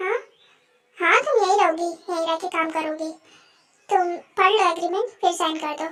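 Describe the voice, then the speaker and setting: A woman's squeaky, put-on character voice at an extremely high pitch, moderate pace, ordinary pitch variation and long, frequent pauses. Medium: fan dub. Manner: commanding, cool.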